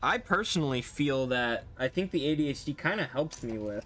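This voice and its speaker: A man with a fairly high voice talks at a moderate speed, varying his pitch in an ordinary way. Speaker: streamer. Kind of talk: live stream chat while assembling a model. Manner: halting, many fillers.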